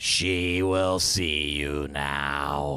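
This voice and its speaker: A put-on character voice from a man, pitched very deep and low. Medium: actual play. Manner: curt, officious.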